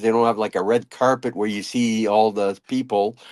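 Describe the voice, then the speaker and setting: This man speaks with a French-Canadian accent at a medium pitch. The recording is very clean, with a silent background. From Ottawa, Canada (French-speaking). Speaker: pin seller and reseller. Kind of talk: casual chat. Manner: halting, many repeated words.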